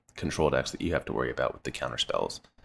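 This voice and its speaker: On a very clean recording with a silent background, the man's voice shows vocal fry. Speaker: gaming video creator. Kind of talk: gameplay commentary. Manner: casual, hesitant with fillers.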